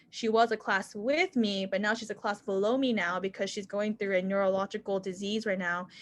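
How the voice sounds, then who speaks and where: A woman with a normal speaking voice talks at a fairly quick pace and medium pitch, her intonation fairly even and hardly any pauses, against a quiet background. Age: 20s. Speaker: medical student. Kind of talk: panel Q&A answer.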